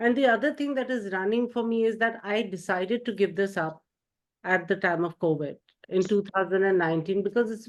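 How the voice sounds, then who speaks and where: Pitch varies in an ordinary way, and the pace is fairly quick. It is a plain, everyday voice. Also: woman, medium pitch for a woman. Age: 60s. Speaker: video producer and healer. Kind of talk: coaching session participant.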